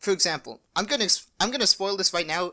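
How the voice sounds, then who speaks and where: In a very clean recording with a silent background, a woman speaks at a medium pitch with a bright, sharp tone and very wide pitch swings. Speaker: YouTuber. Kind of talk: casual vlog monologue. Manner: mumbling; halting.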